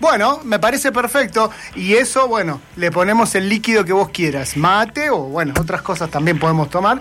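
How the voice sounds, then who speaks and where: A man with a high pitch, a bright, sharp tone and very wide pitch swings talks at a moderate pace with hardly any pauses and very even loudness. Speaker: radio host. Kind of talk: casual chat.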